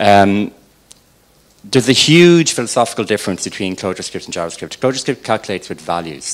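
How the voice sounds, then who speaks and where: Speech with an Irish accent comes at a very fast pace. The intonation is lively. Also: man. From Ireland. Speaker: software developer. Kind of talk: tech talk.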